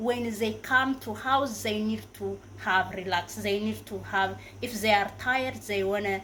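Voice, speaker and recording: A woman speaks at a fairly slow pace with hardly any pauses. Noticeable background noise can be heard. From Africa. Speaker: YouTuber. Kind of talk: casual advice vlog. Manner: halting, many fillers and self-corrections.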